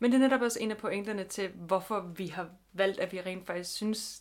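At a moderate pace, a woman speaks in an unremarkable speaking voice of medium pitch with fairly even intonation. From Denmark, Funen. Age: 20s. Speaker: podcast co-host. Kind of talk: casual chat. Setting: home bedroom.

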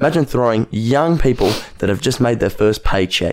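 A man with an Australian accent and a medium pitch speaks at a fairly quick pace. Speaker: podcast co-host. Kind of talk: casual chat.

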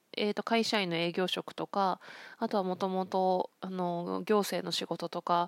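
A woman talks at a fairly slow pace in a relaxed, medium-pitched, flat monotone. The recording is very clean, with a silent background and a dry, close sound with no echo. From Akita, Japan. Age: 40s. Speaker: counselor. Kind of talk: solo podcast monologue. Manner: relaxed, many fillers.

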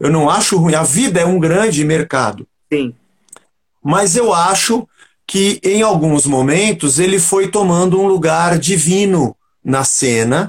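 At a very slow pace, a man speaks at a high pitch with ordinary pitch variation. His loudness stays very even. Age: 50s. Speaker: rock musician and pastor. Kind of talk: casual interview chat.

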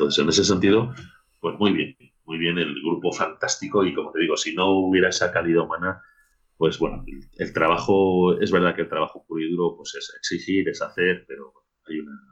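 His loudness rises and falls in big swings. The man talks at a fairly quick pace. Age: 40s. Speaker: rugby coach. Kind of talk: casual chat.

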